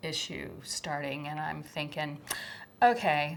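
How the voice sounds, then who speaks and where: A soft-spoken woman with a very deep, low pitch, at a fairly slow pace. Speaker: former schoolteacher. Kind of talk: testimony.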